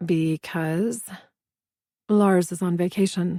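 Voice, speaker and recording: Mumbling in a put-on character voice, a woman speaks very slowly at a medium pitch. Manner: grudging mumble.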